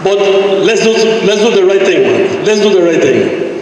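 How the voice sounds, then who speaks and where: Strong room echo and light background noise accompany a man's voice. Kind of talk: public meeting complaint. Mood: frustrated, pleading. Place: hall.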